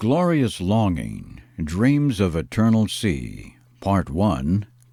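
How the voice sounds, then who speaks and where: Against a silent background in a very clean recording, a man speaks very slowly at fairly low pitch with very wide pitch swings. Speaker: professional voice-over artist. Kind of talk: poetry reading. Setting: home recording with a dynamic microphone. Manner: dramatic, passionate.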